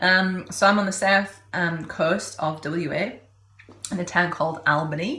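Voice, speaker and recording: A woman with an English accent speaks at a fairly low pitch and a fairly slow pace. Her intonation stays fairly even, and room echo is audible. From England. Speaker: podcast host, health coach. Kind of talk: podcast intro and interview.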